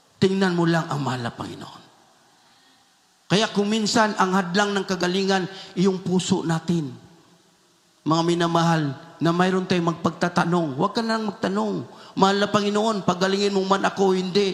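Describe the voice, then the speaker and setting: Amid noticeable background noise, a man with a high pitch speaks at a moderate pace, with ordinary pitch variation and long, frequent pauses. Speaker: church preacher. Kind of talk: sermon preaching.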